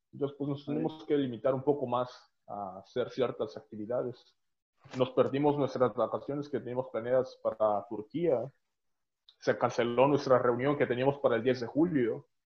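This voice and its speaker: Intonation stays fairly even as a man talks at a moderate pace. It is a normal speaking voice, medium in pitch. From Oaxaca, Mexico. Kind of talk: casual chat.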